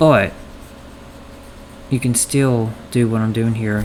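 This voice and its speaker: Over noticeable background noise, a man speaks very slowly at a medium pitch with monotone, flat intonation. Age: 30s. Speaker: painting tutorial podcaster. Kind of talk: tutorial. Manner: casual, chatty.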